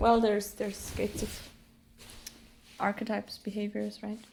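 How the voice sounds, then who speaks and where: Speaking at a moderate pace, a woman is heard. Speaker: spiritual content creator (human design). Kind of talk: casual monologue vlog. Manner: loud.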